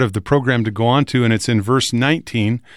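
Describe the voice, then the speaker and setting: A man with a plain, everyday voice speaks at a medium pitch and a fairly quick pace, his intonation fairly even. The recording is very clean, with a silent background. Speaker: radio host. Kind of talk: religious discussion.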